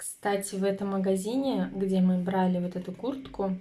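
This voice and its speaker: A woman's plain, everyday voice at a medium pitch, fairly slow and with fairly even intonation. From Ufa, Russia. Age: 20s. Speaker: stay-at-home mother and family vlogger. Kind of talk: casual talk to camera.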